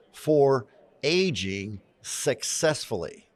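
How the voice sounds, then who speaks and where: With an American accent, a man speaks in an animated tone at a fairly high pitch, his voice making very wide pitch swings on a very clean recording with a silent background. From US. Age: 60s. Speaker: retired business owner and self-development coach. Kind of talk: podcast interview.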